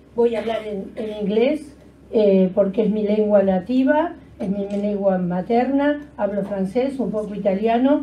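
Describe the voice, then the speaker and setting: Speaking at a moderate pace, a woman uses a fairly high pitch with ordinary pitch variation, and audible room echo surrounds her voice. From Argentina. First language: Spanish. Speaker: museum education award coordinator. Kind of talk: conference talk, partly read aloud. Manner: halting.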